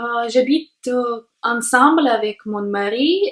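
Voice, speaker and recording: In a Russian accent, a woman speaks at a fairly high pitch. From Latvia, Jelgava. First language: Russian (speaking French). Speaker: language learner vlogger. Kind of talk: personal monologue to camera. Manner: halting, many hesitations.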